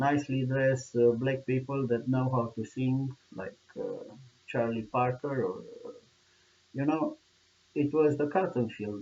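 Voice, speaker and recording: Fairly slow speech from a man with a Romanian accent, ordinary pitch variation, long and frequent pauses, and noticeable background noise. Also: medium pitch for a man. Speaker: video blogger. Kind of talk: monologue commentary. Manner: passionate; halting. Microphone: poor sound quality.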